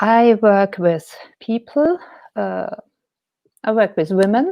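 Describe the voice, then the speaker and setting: Speaking at a very slow pace with a German accent, the woman uses a fairly high pitch and lively intonation. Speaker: painter and life coach. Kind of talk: interview. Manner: hesitant.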